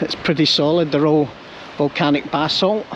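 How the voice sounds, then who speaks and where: A man speaks with a Scottish accent at a fairly high pitch and a moderate pace. His intonation stays fairly even over noticeable background noise. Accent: Scottish (Ayrshire). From Scotland, Ayrshire (Troon). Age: 60s. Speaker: vlogger. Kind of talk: walking tour vlog narration. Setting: outdoors, walking by the shore. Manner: casual, conversational.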